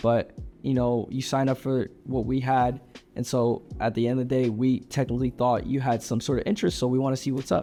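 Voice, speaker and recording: A man with a medium-pitched voice talks at a fairly quick pace and very even loudness over music in the background. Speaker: sales closer vlogger. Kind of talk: casual vlog monologue. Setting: co-working space. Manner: animated.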